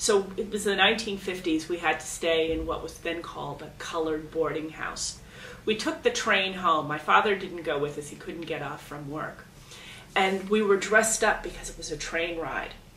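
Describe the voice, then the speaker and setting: A woman speaks at a fairly low pitch for a woman. Her pitch varies in an ordinary way, and the room echo is audible. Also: moderate pace, big swings in loudness. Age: 50s. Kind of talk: documentary interview.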